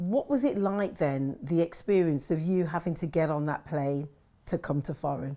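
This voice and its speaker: With a dark, mellow tone, a woman speaks at a fairly low pitch and moderate pace, with ordinary pitch variation. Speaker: interviewer. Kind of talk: interview questions.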